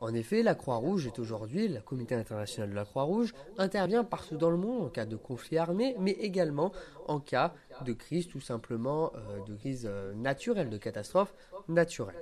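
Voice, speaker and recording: A man's voice moves through very wide pitch swings at a fairly quick pace. Noticeable background noise runs underneath. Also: fairly high pitch for a man. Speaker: law student and volunteer. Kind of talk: pre-recorded scripted column. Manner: formal.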